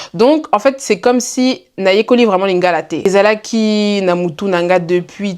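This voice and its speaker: This woman speaks at a medium pitch with ordinary variation. Her pace is fairly slow. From Belgium. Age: 20s. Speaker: student and content creator. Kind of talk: casual vlog Q&A. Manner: animated.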